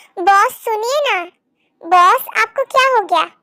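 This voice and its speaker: In a put-on character voice, a woman goes squeaky and extremely high in pitch, with lively intonation at a fairly slow pace. The sound is dry and close, with no echo. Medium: read story. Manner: deferential.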